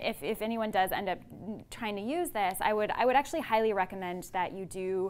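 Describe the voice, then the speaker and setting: A woman talks at a fairly quick pace. Her medium pitch carries lively intonation. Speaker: psychology professor. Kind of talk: lecture. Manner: loud. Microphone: no microphone, built-in audio.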